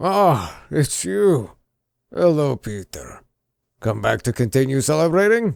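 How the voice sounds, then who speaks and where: A man puts on a character voice at a medium pitch, speaking fairly slowly with very wide swings in pitch over a very clean recording and a silent background. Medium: read story. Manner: jovial, paternal.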